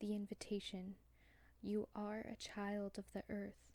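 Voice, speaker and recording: A quiet, somewhat breathy woman of medium pitch at a fairly slow pace. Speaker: tarot card reader. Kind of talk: pick a card tarot reading.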